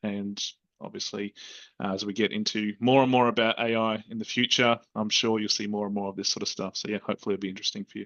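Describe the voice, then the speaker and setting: Rattling along at a very fast pace, a man with an Australian accent speaks in a flat monotone at a fairly low pitch. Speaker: software solution consultant. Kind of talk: webinar presentation. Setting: online video call webinar. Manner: hesitant, many fillers.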